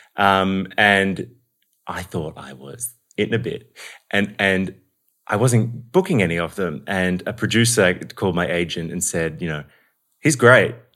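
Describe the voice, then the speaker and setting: A man's very deep, low voice with an Australian accent, at a fairly slow pace with ordinary pitch variation, big swings in loudness, and long, frequent pauses. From Melbourne, Australia. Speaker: actor and acting coach. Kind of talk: casual interview chat. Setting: in-person, at a home.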